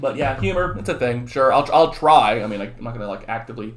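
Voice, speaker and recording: A man with an American accent talks at a very fast pace in an animated tone with lively intonation, and the room echo is audible. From southern California and Texas. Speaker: high school economics teacher. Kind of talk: lecture; casual chat. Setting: recorded video for students.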